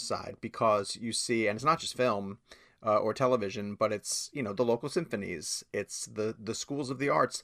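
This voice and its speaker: A man with an American accent and an ordinary speaking voice talks at medium pitch and a moderate pace, with ordinary pitch variation, in a very clean recording with a silent background. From New York. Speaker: film journalist. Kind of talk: interview.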